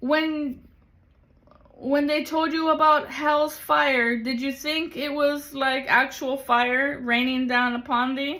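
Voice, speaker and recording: A woman speaks in a raised, projected voice at a high pitch. Her pace is very slow. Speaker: tarot reader. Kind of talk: spiritual reading livestream. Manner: animated.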